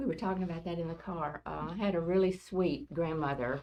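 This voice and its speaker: With a Southern US accent, a woman with a fairly low pitch speaks at a moderate pace with ordinary pitch variation. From US South, rural West Tennessee. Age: 70s. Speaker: grandmother, oral history interviewee. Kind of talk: oral history interview. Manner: hesitant, many fillers.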